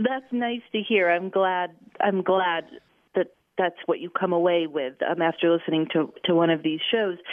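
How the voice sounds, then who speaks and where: A woman has a plain, everyday voice with an American accent, pitched fairly low. Her pitch variation is ordinary and her pace moderate. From US Midwest, Chicago. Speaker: radio journalist and podcast host. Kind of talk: interview conversation.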